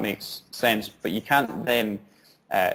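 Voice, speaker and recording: A man with a Scottish accent talks in a fairly low voice. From Scotland. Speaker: social entrepreneur, founder. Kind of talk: interview answer.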